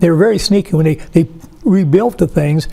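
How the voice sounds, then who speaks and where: A man with an American accent speaks at a high pitch and a fairly quick pace. Noticeable background noise runs underneath. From Oregon. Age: 80s+. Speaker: local historian, board member. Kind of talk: oral history interview. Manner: halting.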